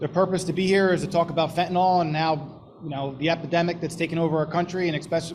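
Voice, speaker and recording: A man's fairly high voice with a New Jersey accent, flat and monotone in its intonation. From New Jersey, Hamilton Township. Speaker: police sergeant. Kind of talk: public presentation. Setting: board of education meeting.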